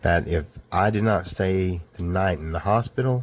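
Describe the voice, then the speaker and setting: A man with a Southern US accent, very deep and low in pitch, at a fairly slow pace, with ordinary pitch variation. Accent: confusing Southern. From US South, Georgia. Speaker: storyteller. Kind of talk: personal true story narration. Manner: casual, conversational.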